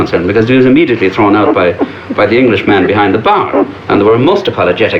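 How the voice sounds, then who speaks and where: A man with an Irish accent speaks with lively intonation amid noticeable background noise. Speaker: Irish emigrant interviewee. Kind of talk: panel discussion.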